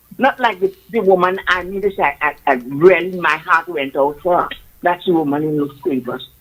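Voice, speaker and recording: Her pitch sits fairly low for a woman. She speaks at a moderate pace with ordinary pitch variation. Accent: Trinidadian. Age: 70s. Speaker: caller. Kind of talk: call-in opinion. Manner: impassioned.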